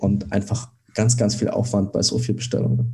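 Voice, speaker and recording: A man speaks at a medium pitch with a dark, mellow tone, somewhat breathy and with fairly even intonation. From Germany, Dresden (Saxony). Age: 20s. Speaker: startup founder. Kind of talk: interview.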